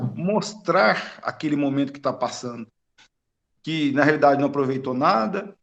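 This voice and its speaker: A man talks with ordinary pitch variation, his fairly high pitch holding a moderate pace. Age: 50s. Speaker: spiritist study group participant. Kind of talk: group discussion over video call. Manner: halting.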